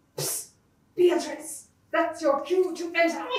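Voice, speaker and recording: A female-sounding, cartoonish character voice comes in at an extremely high pitch for a woman. The pace is moderate, with a slight echo. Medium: puppet. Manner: formal, grandiloquent.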